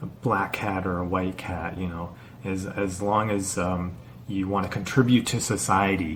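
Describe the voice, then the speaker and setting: A man with a Canadian accent speaks at a fairly slow pace, with audible room echo. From Canada. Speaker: YouTuber, teacher in China. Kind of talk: casual vlog monologue. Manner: halting, stuttering.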